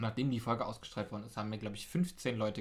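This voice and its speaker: Speaking very fast, a man uses a somewhat breathy, medium-pitched voice with ordinary pitch variation. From Berlin (Pankow). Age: 20s. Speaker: podcast host, local politician, DJ. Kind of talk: casual interview chat.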